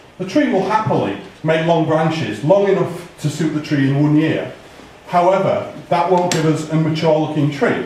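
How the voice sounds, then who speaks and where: A man's fairly high, ordinarily varied pitch at a moderate pace, with audible room echo and noticeable background noise. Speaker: bonsai expert giving tree critique. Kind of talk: live critique talk to audience. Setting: hall with audience, museum. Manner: loud.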